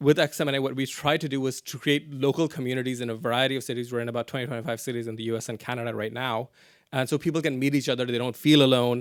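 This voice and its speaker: The speech moves at a very fast pace. Intonation stays fairly even. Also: man, medium pitch for a man. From Pakistan. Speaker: activist. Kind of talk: lecture. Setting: stage with audience.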